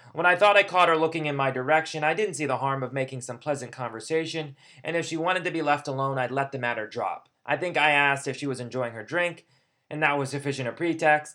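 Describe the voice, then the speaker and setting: Very fast and fairly high-pitched, a man talks in a bright, sharp tone. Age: 30s. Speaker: podcast host, teacher and poet. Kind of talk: scripted monologue. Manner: formal.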